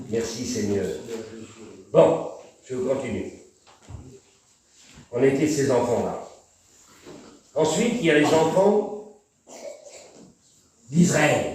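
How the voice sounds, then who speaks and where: Very wide pitch swings in a man's speech, plus audible room echo. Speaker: preacher. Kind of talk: sermon. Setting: church.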